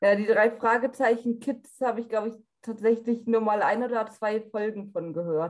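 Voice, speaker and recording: Speaking at a moderate pace, a woman with an unremarkable speaking voice holds a fairly high pitch and fairly even intonation. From North Rhine-Westphalia, Germany. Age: 20s. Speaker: blind audio drama fan. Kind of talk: casual interview chat.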